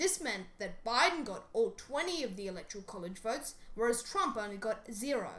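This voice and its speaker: Noticeable background noise sits behind a fairly quick delivery with hardly any pauses. The pitch swings very widely. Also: woman, fairly high pitch for a woman. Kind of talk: educational explainer narration.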